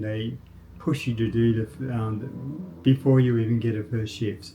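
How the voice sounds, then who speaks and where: A man with an Australian accent speaks in a dark, mellow, somewhat breathy tone at medium pitch. His intonation stays fairly even and his pace is moderate. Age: 60s. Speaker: vlogger, former programmer. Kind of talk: casual monologue. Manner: halting, with fillers.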